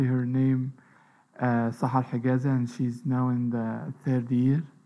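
Moderate pace and medium pitch from a man with a plain, everyday voice. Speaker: lecturer. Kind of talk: lecture.

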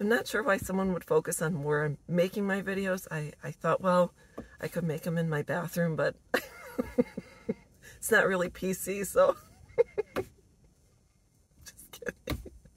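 A woman speaks at a moderate pace with long, frequent pauses and ordinary pitch variation. The sound is dry, with no echo. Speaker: vlogger. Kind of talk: casual vlog chat. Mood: warm, smiling, relaxed. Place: car. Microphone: phone near.

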